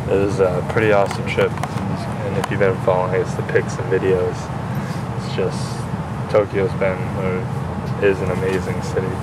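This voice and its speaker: Loud background noise surrounds a man who speaks with long, frequent pauses, the sound dry with no echo. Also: ordinary pitch variation, moderate pace. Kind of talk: casual vlog chat. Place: train. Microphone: phone near.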